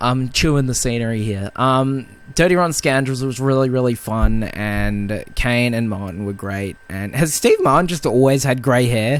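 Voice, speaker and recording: A man speaks in an ordinary speaking voice at a medium pitch. His pace is moderate, his pitch variation ordinary, with hardly any pauses. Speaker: film podcast co-host. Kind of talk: casual chat.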